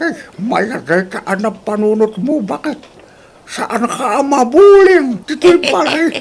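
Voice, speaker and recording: Using a put-on character voice, a man speaks at a very slow pace in an extremely high pitch with very wide pitch swings. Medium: audio drama.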